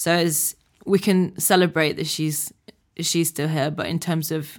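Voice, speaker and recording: On a very clean recording with a silent background, a woman with a Yorkshire accent speaks at a moderate pace in a fairly low, monotone, flat voice. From Yorkshire, England. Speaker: activist. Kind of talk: casual chat.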